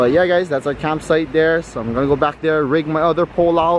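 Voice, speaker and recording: The speech comes at a fairly quick pace with fairly even intonation, in a dry sound with no echo and noticeable background noise. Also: man. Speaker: vlogger. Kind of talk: casual vlog chat. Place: beach. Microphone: phone near.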